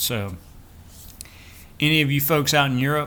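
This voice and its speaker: In a Southern US accent, a man speaks at a moderate pace with ordinary pitch variation and a bright, sharp tone. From Florida, US South. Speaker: vlogger. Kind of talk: casual vlog update.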